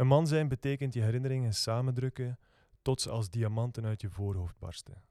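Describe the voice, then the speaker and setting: In a very clean recording with a silent background, a man speaks at medium pitch with a calm, dark, mellow tone. His pace is moderate, his pitch variation ordinary, and the sound dry and close with no echo. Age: 20s. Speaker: poet and rock singer. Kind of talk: poetry reading.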